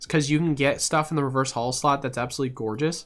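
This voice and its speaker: At a very fast pace, a man with a fairly high pitch and fairly even intonation speaks on a very clean recording with a silent background. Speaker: trading card market streamer. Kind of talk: live stream Q and A. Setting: live stream. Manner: casual, frequent fillers.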